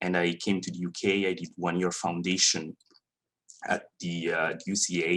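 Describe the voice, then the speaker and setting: A man's very deep, low voice with a Swiss Italian accent. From Italian-speaking Switzerland. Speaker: 3D animator. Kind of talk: industry talk to students. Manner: halting.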